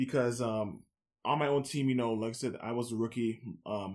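A man's medium-pitched voice with a Toronto accent and fairly even intonation. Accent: Toronto Canadian English. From Scarborough, Toronto, Canada. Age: 20s. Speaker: university basketball player and activist. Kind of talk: podcast interview.

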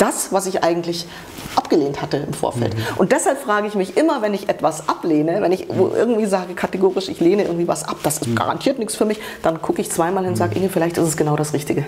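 A woman speaks at a very fast pace with a medium pitch and very wide pitch swings. Noticeable background noise is present. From Munich, Germany (born in Romania). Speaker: journalist and women's rights activist. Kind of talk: interview. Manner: halting.

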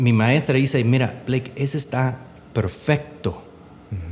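In an English accent, a man speaks at a medium pitch with fairly even intonation. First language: English (speaking Spanish). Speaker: entrepreneur. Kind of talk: interview. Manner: halting.

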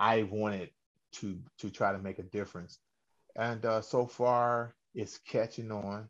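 A man speaks at a fairly slow pace in a fairly low, monotone voice with flat intonation, pausing long and often against a quiet background. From Cleveland, Ohio. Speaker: singer and radio host. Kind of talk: interview.

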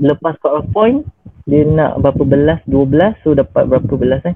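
The man talks at a fairly slow pace. His pitch varies in an ordinary way. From Malaysia, Johor Bahru. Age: 20s. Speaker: doctor. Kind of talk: casual interview.

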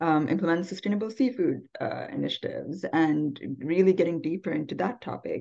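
A woman's fairly low voice with vocal fry, a moderate pace and ordinary pitch variation, against a quiet background. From Sri Lanka. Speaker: sustainable tourism professional. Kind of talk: interview. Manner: many fillers and hesitations.

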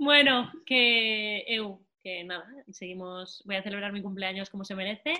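Fairly slow in pace, a woman's medium-pitched voice shows ordinary pitch variation and big swings in loudness. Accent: Spanish. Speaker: football podcast co-host. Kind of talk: casual chat.

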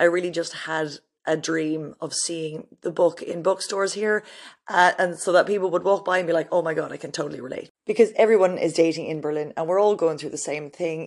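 Fairly quick speech in an Irish accent against a quiet background. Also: woman. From Ireland. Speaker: podcast host and author. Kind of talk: casual solo introduction. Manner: animated.

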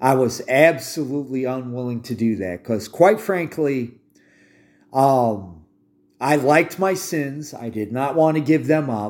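Speaking at a fairly slow pace, a man with a medium pitch uses lively intonation. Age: 50s. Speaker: podcast host and army veteran. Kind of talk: religious monologue. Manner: halting, with frequent fillers.

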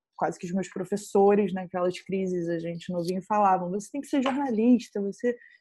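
A woman's somewhat breathy, dark and mellow voice at medium pitch, over a quiet background. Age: 20s. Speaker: filmmaker. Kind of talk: interview.

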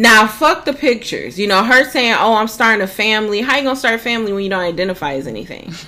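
Over noticeable background noise, a woman talks very fast with lively intonation. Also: fairly high pitch for a woman, hardly any pauses. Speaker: podcast co-host. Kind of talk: casual chat.

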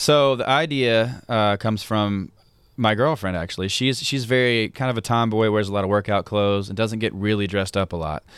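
Speech in a Mississippi accent comes at a fairly quick pace with ordinary pitch variation, in a very clean recording with a silent background. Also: man, fairly low pitch for a man. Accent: Southern US (Mississippi). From Mississippi (Hattiesburg). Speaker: country singer-songwriter. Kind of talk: casual interview chat.

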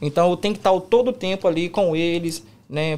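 Speaking at a moderate pace, a man with a high pitch and ordinary pitch variation is heard on a very clean recording with a silent background. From Brazil, Minas Gerais. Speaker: pagode musician. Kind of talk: casual chat.

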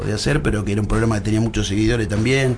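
The recording of a man carries audible room echo and noticeable background noise. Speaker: horse racing commentator. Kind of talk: casual chat.

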